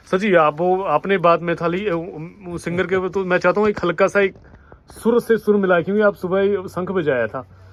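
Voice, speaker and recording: At a moderate pace, a man speaks at a high pitch with fairly even intonation over noticeable background noise. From Himachal Pradesh hills. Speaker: homestay host. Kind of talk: casual chat.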